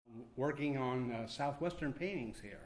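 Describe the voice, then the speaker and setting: A man at a medium pitch and fairly slow pace, with audible room echo. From New Mexico. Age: 70s. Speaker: veteran artist. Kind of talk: interview. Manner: halting.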